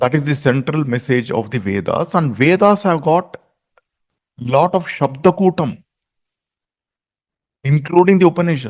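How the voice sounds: Speaking at a fairly slow pace, a man uses lively intonation at a fairly high pitch.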